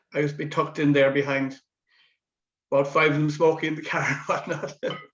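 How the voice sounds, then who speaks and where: In a Cork accent, a man speaks at a very fast pace. His fairly high voice keeps a monotone, flat intonation. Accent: Cork Irish. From West Cork, Ireland. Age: 70s. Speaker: amateur drama veteran. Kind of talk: interview reminiscence.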